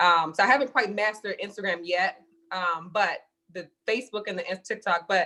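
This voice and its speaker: A woman speaks at medium pitch with a bright, sharp tone. Her pitch varies in an ordinary way. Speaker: entrepreneur. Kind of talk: interview. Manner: fast.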